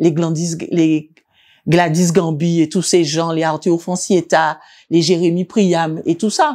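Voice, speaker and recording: A woman talks at a fairly slow pace in a dark, mellow tone. The recording is very clean, with a silent background. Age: 60s. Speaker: visual artist and art teacher. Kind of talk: interview. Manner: halting.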